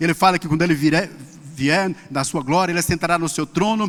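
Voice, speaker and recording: A man speaks at a high pitch. His pace is fairly quick. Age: 60s. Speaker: pastor. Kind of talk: sermon.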